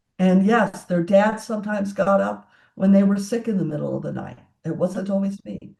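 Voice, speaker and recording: Somewhat breathy and dark, mellow in tone, a woman speaks at a medium pitch and moderate pace with fairly even intonation. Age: 60s. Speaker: tech entrepreneur and CEO. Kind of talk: interview conversation.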